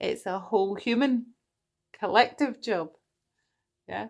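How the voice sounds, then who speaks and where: In a very clean recording with a silent background, a woman with a Scottish accent talks at a fairly slow pace. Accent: Scottish accent coming through. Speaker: tarot reader. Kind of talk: livestream tarot reading. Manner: animated.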